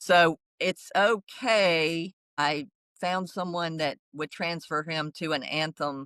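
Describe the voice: A woman speaks at a low pitch with a fairly bright tone and ordinary pitch variation in a dry, close sound with no echo.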